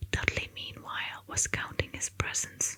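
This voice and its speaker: Through noticeable background noise, a woman whispers at a moderate pace. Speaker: ASMR artist. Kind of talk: whispered audiobook reading for sleep. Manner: whispered, soft-spoken.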